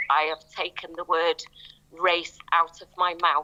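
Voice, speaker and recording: A woman talks at a fairly slow pace with a fairly low pitch. Noticeable background noise is present. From northern England. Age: 60s. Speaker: artist. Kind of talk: panel discussion.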